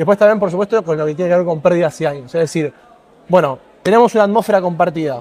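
A man talks at a very fast pace. His pitch is high and varies in an ordinary way. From Argentina. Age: 20s. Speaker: environmental activist; interviewee. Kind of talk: interview. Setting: conference pavilion set. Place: hall.

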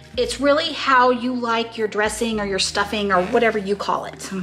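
A woman talks at a moderate pace with a high pitch. Faint music sits in the background. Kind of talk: tutorial. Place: kitchen.

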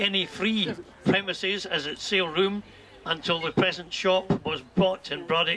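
This man talks in a raised, projected voice at a moderate pace. His intonation stays fairly even over light background noise. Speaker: charity event host. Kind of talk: formal speech. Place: garden. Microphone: camera far.

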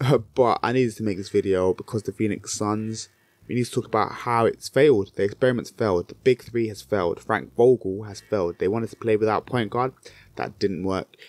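A man with a British accent talks at a fairly quick pace and a fairly low pitch with ordinary pitch variation, the sound dry with no echo against a quiet background. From Britain. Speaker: basketball YouTuber. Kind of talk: solo commentary video. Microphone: handheld.

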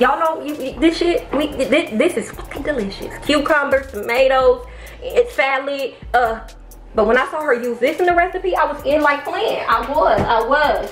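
Faint music plays behind the voice, and the room gives off an audible echo. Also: woman, high pitch for a woman, moderate pace. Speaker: home cooking vlogger. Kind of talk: casual vlog chat. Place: kitchen. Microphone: camera far.

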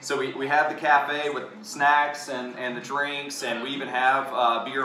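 Audible room echo surrounds a man's voice. Light background noise runs beneath it. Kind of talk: interview answer. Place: cafe. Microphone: camera far.

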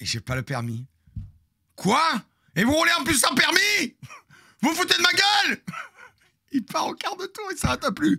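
Over a quiet background, a man talks in an animated tone at a fairly slow pace, with long, frequent pauses. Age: 50s. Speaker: streamer storyteller. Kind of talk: storytelling to live stream audience. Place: home room. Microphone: studio mic.

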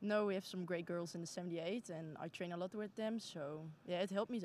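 A woman speaks in a Dutch accent at a fairly quick pace with ordinary pitch variation. The sound is dry with no echo, with light background noise. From Netherlands. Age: 20s. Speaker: junior judo athlete. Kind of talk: post-competition interview. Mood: calm, mildly pleased. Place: hall. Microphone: handheld.

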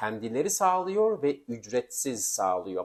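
A man speaks with very wide pitch swings. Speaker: immigration law video presenter. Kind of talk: informational vlog.

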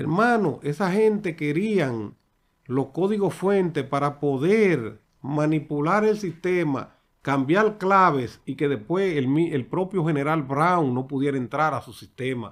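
A man with a fairly high pitch speaks at a very slow pace with lively intonation against a quiet background. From Dominican Republic. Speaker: political commentator. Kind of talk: political commentary monologue. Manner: animated. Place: studio. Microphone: studio mic.

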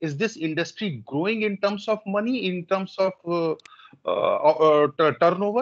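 A man with a high pitch and lively intonation. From India. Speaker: workshop participant. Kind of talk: audience question. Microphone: video call.

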